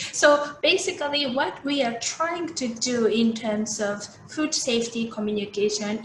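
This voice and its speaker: A woman with a Japanese accent speaks slowly-ish at a fairly slow pace, with a fairly high pitch and lively intonation, amid audible room echo and noticeable background noise. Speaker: food safety expert. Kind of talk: keynote lecture. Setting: video call. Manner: halting.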